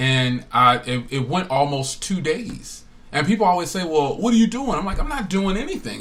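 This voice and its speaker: With an American accent, a man talks at a fairly quick pace with lively intonation against noticeable background noise. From New Jersey. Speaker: tech podcaster and phone reviewer. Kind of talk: casual chat. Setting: live stream podcast. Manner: animated.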